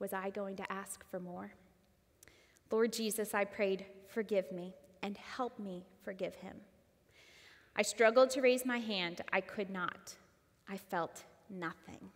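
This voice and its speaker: A woman talks in a medium pitch at a fairly slow pace. Her intonation stays fairly even, with long, frequent pauses. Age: 30s. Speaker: church member sharing testimony; guest. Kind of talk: testimony. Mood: earnest, emotional personal testimony. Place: church. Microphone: headset.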